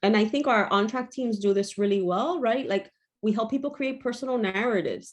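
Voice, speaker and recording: Speaking at a fairly quick pace, a woman has an unremarkable speaking voice with a fairly high pitch. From Miami, Florida (Cuban-American). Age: 40s. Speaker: mental health trainer. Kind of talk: lecture.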